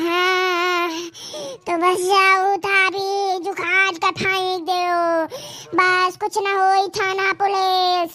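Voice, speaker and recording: An extremely high, female-sounding cartoonish character voice crawls along at a very slow pace with monotone, flat intonation. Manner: insistent, repetitive.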